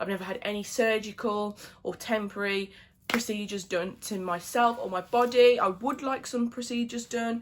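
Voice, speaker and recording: A woman speaks with a British accent. Her intonation stays fairly even. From England. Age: 20s. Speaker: beauty vlogger. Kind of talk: casual chat. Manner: casual, many fillers.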